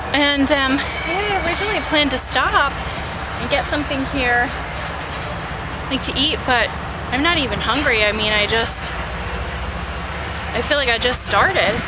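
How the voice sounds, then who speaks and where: A woman talks at a moderate pace with long, frequent pauses. Loud background noise surrounds her dry, echo-free sound. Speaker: cycling vlogger. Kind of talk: casual vlog chat. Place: bicycle. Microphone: phone near.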